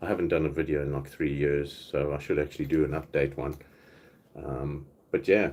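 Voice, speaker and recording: A man's very deep, low voice with vocal fry, flat monotone intonation and a fairly quick pace, in a South African accent. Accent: South African, often mistaken for Australian. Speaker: YouTuber doing live Q&A. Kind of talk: casual chat.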